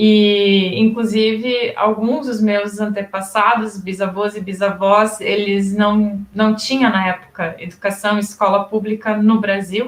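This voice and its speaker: Her pitch is fairly high, and this woman talks at a fairly slow pace. Her intonation stays monotone and flat. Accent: German. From Rio Grande do Sul, Brazil (German-descendant community). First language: German dialect (speaking Portuguese). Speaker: education professor. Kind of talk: interview.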